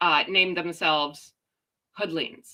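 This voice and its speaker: A loud woman's voice, medium in pitch, with a bright, sharp tone. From Canada. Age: 40s. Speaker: live streamer. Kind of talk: casual chat.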